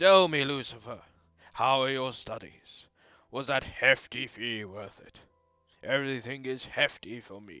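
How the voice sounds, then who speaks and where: Over background music, a man puts on a character voice, raspy and medium-pitched, at a moderate pace with big swings in loudness. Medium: game stream. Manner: jovial, hearty.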